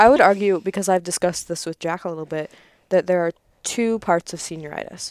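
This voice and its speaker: A woman has an unremarkable speaking voice, fairly low in pitch with ordinary pitch variation. She speaks at a fairly quick pace in a dry, close sound with no echo. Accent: American. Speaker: English major student. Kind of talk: casual chat. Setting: home basement.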